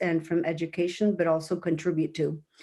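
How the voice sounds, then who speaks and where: Delivered at a moderate pace, the voice has a dark, mellow tone on a very clean recording with a silent background. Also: woman. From Mexico City, Mexico. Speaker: parent. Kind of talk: interview testimony. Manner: hesitant, many fillers.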